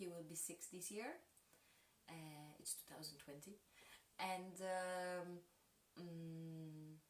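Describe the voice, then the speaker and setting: Speaking with a Polish accent at a very slow pace, a woman with a fairly low pitch keeps her intonation fairly even but swings widely in loudness, leaving long, frequent pauses amid audible room echo. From Poland (Kraków), two childhood years in Mexico. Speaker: dancer and choreographer. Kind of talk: interview. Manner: halting, many hesitations.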